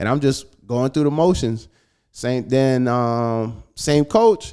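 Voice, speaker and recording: Speaking in an American accent, a man with a dark, mellow tone talks at a very slow pace with ordinary pitch variation. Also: medium pitch for a man. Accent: slight Caribbean accent, used at will. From US Virgin Islands (St Thomas). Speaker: mixed martial arts fighter. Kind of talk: casual interview chat.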